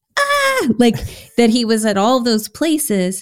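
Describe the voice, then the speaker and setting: A woman speaks at a moderate pace with an American accent, in a very clean recording against a silent background. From Houston, Texas. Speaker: Bible teacher and author. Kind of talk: casual chat. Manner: animated.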